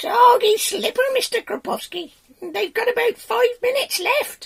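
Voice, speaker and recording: Pitched extremely high, this is a put-on character voice. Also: moderate pace. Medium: read story. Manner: timid.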